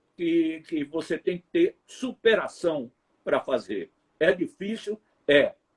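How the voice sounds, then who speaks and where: With a northeastern Brazilian accent, a man speaks at a very slow pace with big swings in loudness, the sound dry and close with no echo. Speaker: TV reporter. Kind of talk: interview storytelling. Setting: live stream.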